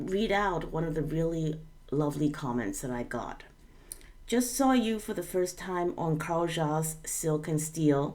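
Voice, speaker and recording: With audible room echo, a woman speaks fairly slowly and with lively intonation. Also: fairly low pitch for a woman. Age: 40s. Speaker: YouTube commentator. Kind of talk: casual commentary.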